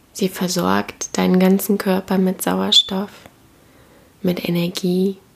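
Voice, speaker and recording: Calm and soothing, a woman speaks at a very slow pace. She leaves long, frequent pauses. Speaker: podcast host and meditation guide. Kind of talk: guided meditation. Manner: slow, calm, soothing; gentle, warm, with long pauses.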